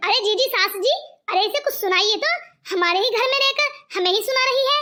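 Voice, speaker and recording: A woman does a cartoonish character voice at an extremely high pitch with lively intonation. She goes at a very fast pace, her loudness very even. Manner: taunting.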